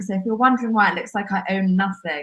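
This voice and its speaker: A woman speaks with a strong southern English accent. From southern England. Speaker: podcast co-host. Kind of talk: live podcast chat. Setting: video call live stream, quiet corner of home.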